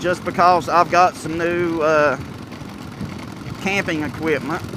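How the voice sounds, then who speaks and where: Speaking with an American accent, a man with a high voice keeps a moderate pace amid noticeable background noise. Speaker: motorcycle vlogger. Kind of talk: casual vlog talk. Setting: outdoors in evening sun. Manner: hesitant, many fillers.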